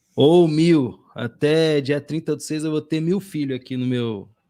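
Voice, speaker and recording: Dark and mellow in tone, a man's voice sits at a fairly high pitch with ordinary pitch variation. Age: 30s. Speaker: podcast host. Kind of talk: casual chat.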